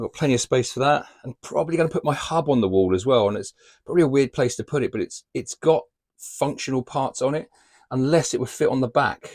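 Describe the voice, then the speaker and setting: Talking at a very fast pace, a man with a British accent has a medium pitch and ordinary pitch variation. The recording is very clean and dry, close and without echo, over a silent background. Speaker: van life vlogger. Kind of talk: casual vlog narration. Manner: casual, chatty.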